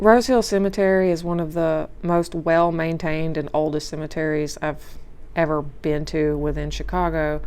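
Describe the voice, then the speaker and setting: A woman speaks with a Louisiana accent and a fairly low pitch. Audible room echo comes through. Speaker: nature vlogger. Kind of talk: casual voice-over commentary.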